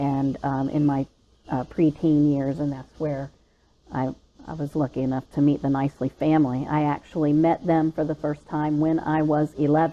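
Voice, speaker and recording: In an American accent, the voice has a dark, mellow tone and a flat monotone delivery at a moderate pace. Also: woman, very deep, low pitch for a woman. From Florida, Orlando and Tampa Bay area. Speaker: interview guest. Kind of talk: casual interview. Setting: porch.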